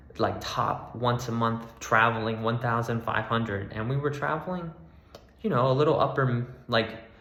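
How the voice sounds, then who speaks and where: With noticeable background noise and audible room echo, a man with an American accent and a medium pitch speaks at a moderate pace with ordinary pitch variation. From Florida, US. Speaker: travel vlogger. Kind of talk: casual vlog monologue. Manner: casual, hesitant with fillers.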